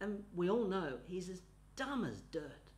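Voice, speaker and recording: A man speaks with lively intonation. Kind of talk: comedic monologue.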